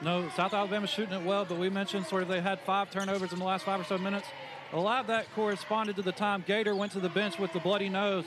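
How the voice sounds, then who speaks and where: A man talks at a very fast pace in a high pitch, with monotone, flat intonation and very even loudness. The sound is dry with no echo, though noticeable background noise is present. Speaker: color commentator. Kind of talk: live color commentary, analytical. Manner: measured, explanatory, conversational analyst. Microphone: headset.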